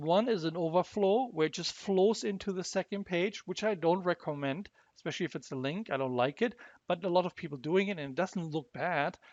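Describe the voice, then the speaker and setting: A man at a high pitch with lively intonation and a moderate pace, in a dry, close sound with no echo and a quiet background. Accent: German. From Germany. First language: German. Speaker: software demo presenter. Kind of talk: tutorial. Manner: halting, repeats words.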